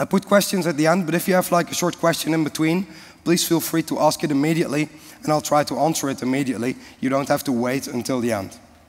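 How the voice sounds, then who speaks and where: A man rushes along at a very fast pace, his fairly high voice showing ordinary pitch variation. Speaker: conference speaker. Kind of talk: technical presentation. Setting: conference stage with audience.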